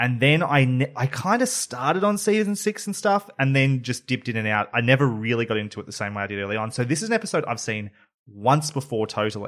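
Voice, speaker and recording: This man talks at a fairly quick pace with an Australian accent. His pitch swings very widely. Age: 30s. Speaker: podcast host. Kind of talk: casual chat.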